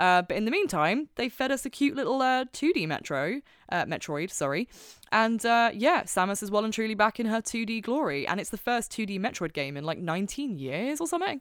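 A woman with a British accent and a fairly high pitch talks in an animated tone at a fairly quick pace, her pitch swinging very widely, in a very clean recording with a silent background. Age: 20s. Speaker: podcast host. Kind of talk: casual chat. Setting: home recording.

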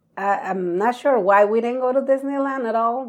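Speech comes at a moderate pace. A Spanish accent marks the words. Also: woman. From Mexico, Acapulco; moved to the US at 12. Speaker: podcast guest, host's wife and travel partner. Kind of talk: casual chat.

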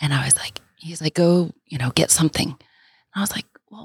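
The woman's voice is dry and close, with no echo. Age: 40s. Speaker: guest, single mother and coach. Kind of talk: casual chat. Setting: studio.

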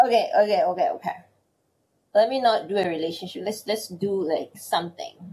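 A woman at medium pitch talks at a fairly quick pace, her somewhat breathy voice dark and mellow in tone with very wide pitch swings. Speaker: podcast co-host. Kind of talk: casual chat. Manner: energetic, animated.

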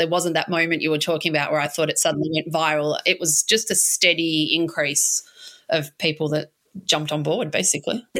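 A woman speaks with an Australian accent at a fairly quick pace. Her pitch is fairly low and her intonation fairly even. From Australia, Melbourne (St Kilda). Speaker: small business owner. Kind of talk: interview.

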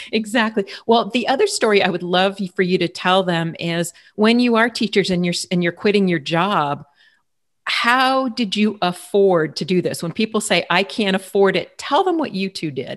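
Against a quiet background, a woman with a medium pitch speaks at a moderate pace with ordinary pitch variation. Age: 50s. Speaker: marketing podcast host. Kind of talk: interview.

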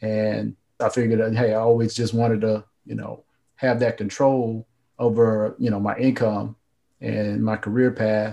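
This man has an American accent, a medium pitch and a dark, mellow tone. He speaks at a moderate pace with monotone, flat intonation. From North Carolina. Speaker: entrepreneur and author. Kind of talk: interview.

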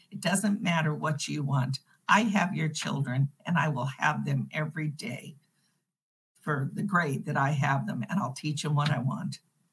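The put-on character voice is raspy, sits at middle pitch, and moves at a moderate pace. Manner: haughty, condescending.

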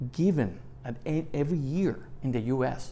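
A man speaks with a Puerto Rican accent and lively intonation. His tone is dark and mellow. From Puerto Rico. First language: Spanish. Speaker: retired federal immigration agent. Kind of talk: interview.

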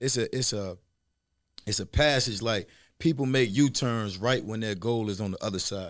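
In a very clean recording with a silent background, a man with an American accent speaks at medium pitch and a moderate pace, using a normal speaking voice with ordinary pitch variation. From Virginia Tidewater area. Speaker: government contracting entrepreneur and coach. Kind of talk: casual interview.

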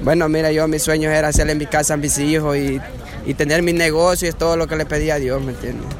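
A man with a fairly high voice talks at a fairly quick pace in a monotone, flat way. Room echo is audible, and crowd noise sits in the background. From Honduras, El Paraíso. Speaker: migrant. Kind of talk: street interview. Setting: outdoors in a queue.

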